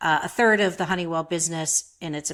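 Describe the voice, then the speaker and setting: A woman with an Upper Midwest accent speaks at a fairly low pitch. The recording is very clean, with a silent background. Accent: Upper Midwest American. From Minnesota. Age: 60s. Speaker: photographer. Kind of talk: interview.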